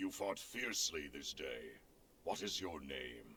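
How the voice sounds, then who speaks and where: Putting on a raspy character voice, a man speaks in a very deep, low pitch with very wide pitch swings at a fairly slow pace over clear background noise. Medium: video game. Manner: cold, disdainful.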